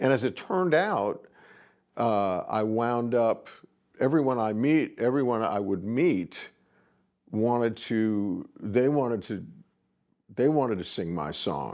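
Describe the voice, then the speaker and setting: A man's relaxed, medium-pitched voice at a very slow pace against a quiet background. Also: lively intonation. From Rhode Island. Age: 70s. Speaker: songwriter and studio musician. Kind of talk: interview monologue. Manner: relaxed, hesitant with fillers.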